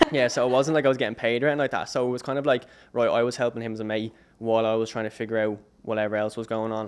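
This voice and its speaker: Very fast and in a monotone, flat intonation, a man speaks at medium pitch with an Irish accent. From Ireland. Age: 20s. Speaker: videographer. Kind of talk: podcast interview.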